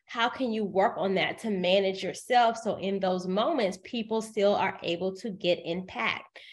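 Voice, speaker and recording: A woman of medium pitch speaks at a moderate pace with hardly any pauses. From US South, Decatur, Georgia. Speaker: writer, media personality and professional speaker. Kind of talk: interview. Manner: speeds up when excited.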